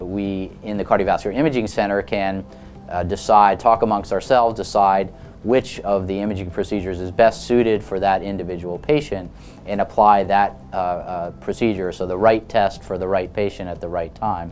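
Music plays in the background as a man speaks at a moderate pace. His pitch is fairly low and his intonation fairly even. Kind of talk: interview answer. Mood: calm, friendly, informative. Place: hall. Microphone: lapel.

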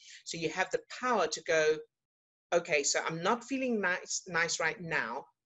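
A woman speaks at a moderate pace with a fairly low pitch. The background is quiet. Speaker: emotional fitness coach. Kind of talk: coaching talk to online group. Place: home room. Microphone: webcam.

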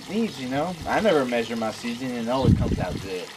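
A male voice against noticeable background noise. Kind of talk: casual cooking vlog chat. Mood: cheerful, laughing. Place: street. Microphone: camera far.

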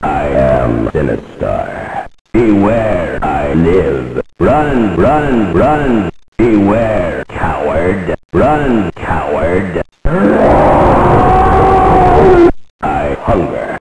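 Putting on a character voice, a man booms at a fairly low pitch and a very slow pace. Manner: scary, menacing.

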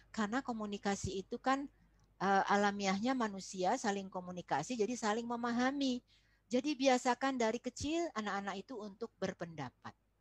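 A woman talks in an ordinary speaking voice at a fairly quick pace, her pitch fairly high with ordinary variation. The sound is dry with no echo, and the background is quiet. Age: 60s. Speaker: foundation chair and lecturer on parenting; presenter. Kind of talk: online parenting presentation. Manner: warm, conversational, addresses audience. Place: classroom. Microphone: webcam.

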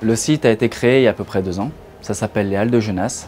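Over faint music in the background, the speaker talks at a fairly quick pace with fairly even intonation. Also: man. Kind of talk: interview answer. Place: shop. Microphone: lapel.

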